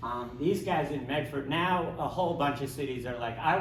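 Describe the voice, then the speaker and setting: Male speech amid noticeable background noise and audible room echo, its pitch varying in an ordinary way. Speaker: homeless rights activist. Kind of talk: panel discussion. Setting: library event with live audience. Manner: fast; animated.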